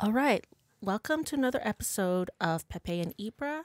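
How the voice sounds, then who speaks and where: On a very clean recording with a silent background and a dry, close sound with no echo, a woman uses a normal speaking voice at medium pitch with lively intonation. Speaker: podcast host and musician. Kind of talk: casual interview conversation.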